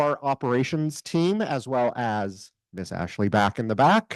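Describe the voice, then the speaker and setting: With a quiet background and a dry, close sound with no echo, a man speaks slowly at a medium pitch in a normal speaking voice. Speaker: volunteer coordinator. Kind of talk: orientation briefing. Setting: room with live audience.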